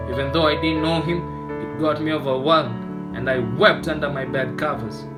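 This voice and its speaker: A man talks at a moderate pace. Behind his voice, music is playing. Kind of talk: spoken word poetry performance.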